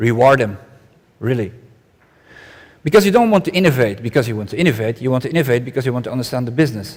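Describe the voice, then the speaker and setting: A man with a Flemish accent talks at a very fast pace in a medium pitch. His intonation is lively, and his pauses are long and frequent. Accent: Belgian Dutch-accented English. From Belgium. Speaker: conference speaker. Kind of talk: conference keynote talk.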